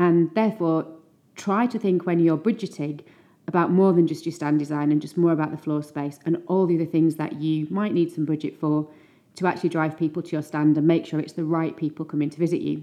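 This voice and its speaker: Fairly quick in pace, a woman with a plain, everyday voice speaks at a fairly low pitch with fairly even intonation. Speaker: podcast host. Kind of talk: scripted intro and interview.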